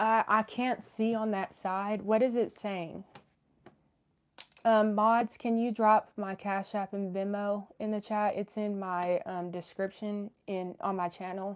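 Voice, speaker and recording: This woman has an American accent and a medium pitch. She speaks fairly slowly in a monotone, flat intonation. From Oklahoma. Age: 20s. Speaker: YouTube commentator on trial. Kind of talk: livestream chat, reading super chats. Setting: live stream.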